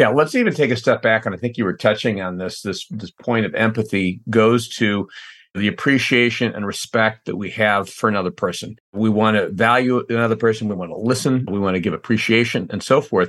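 A man talks fairly quickly in a normal speaking voice at medium pitch, with ordinary pitch variation. He barely pauses, and the background is quiet. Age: 50s. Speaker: CEO of a training company. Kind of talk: interview conversation. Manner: frequent repetitions and false starts.

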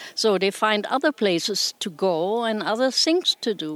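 Fairly slow and lively in intonation, a woman speaks at a fairly high pitch in a dry, close sound with no echo. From Germany. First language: German. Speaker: retired nudist resort owner. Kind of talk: interview.

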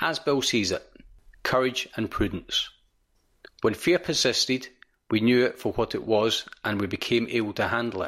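Long, frequent pauses mark a man's moderate pace, with a Central Belt Scottish accent. His medium pitch shows ordinary variation, in a very clean recording with a silent background. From Scotland. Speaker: volunteer reader of recovery readings. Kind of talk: reading aloud of recovery texts and prayer, solemn and devotional.

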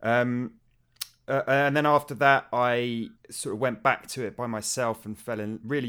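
Fairly even intonation in a British accent. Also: man, very clean recording, silent background. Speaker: game music podcaster. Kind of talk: casual chat.

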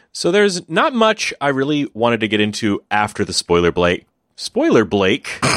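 A man speaks at a moderate pace, and the sound is dry and close with no echo. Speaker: podcast host. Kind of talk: casual chat.

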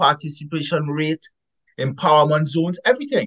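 In a Caribbean accent, a man talks at a moderate pace with a fairly high pitch and a somewhat breathy sound. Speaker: epidemiologist author. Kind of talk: interview. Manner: emphatic.

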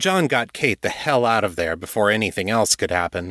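Text given as plain reading aloud

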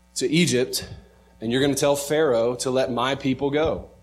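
Heard with audible room echo, a man speaks at a moderate pace. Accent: American. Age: 30s. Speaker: pastor. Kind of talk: sermon.

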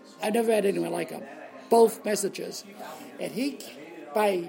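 Over noticeable background noise, a man with an American accent speaks at a moderate pace in a high voice with ordinary pitch variation. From US Northeast (Boston, Massachusetts). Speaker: author and former broadcaster. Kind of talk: interview. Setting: in person in a lounge.

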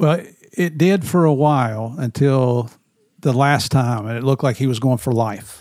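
Speaking at a medium pitch, a man holds a moderate pace and ordinary pitch variation. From US South (Tennessee and West Virginia). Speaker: retired drug enforcement agent. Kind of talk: casual interview chat.

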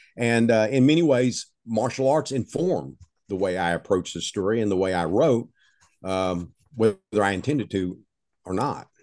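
With an East Texas accent, a man speaks at a fairly low pitch with lively intonation over a quiet background. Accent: East Texas Southern drawl. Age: 70s. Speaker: novelist. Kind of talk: interview storytelling.

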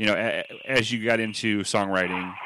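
Bright and sharp in tone, a man sounds upbeat in a very clean recording with a silent background. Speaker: podcast host. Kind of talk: casual interview chat. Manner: friendly, upbeat, slightly hesitant with filler words.

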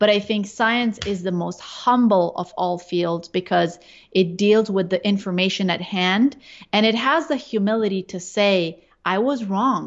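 A normal speaking voice from a woman, medium in pitch, with ordinary pitch variation and a fairly slow pace. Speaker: neurologist and researcher. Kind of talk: interview conversation.

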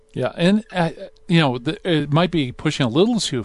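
A man speaks at a moderate pace in an ordinary speaking voice, his intonation lively. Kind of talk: radio host patter. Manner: warm, upbeat, jokey, fluent showman banter.

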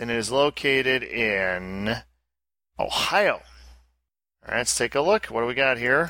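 Bright and sharp in tone, the speaker has an American accent and lively intonation at a fairly slow pace, with long, frequent pauses. The recording is very clean, with a silent background. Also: man. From Albany, upstate New York. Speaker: podcast host. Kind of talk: casual banter, podcast chat.

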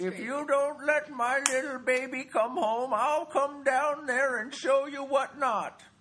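A put-on character voice, high in pitch, at a fairly slow pace with hardly any pauses. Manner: threatening, feisty.

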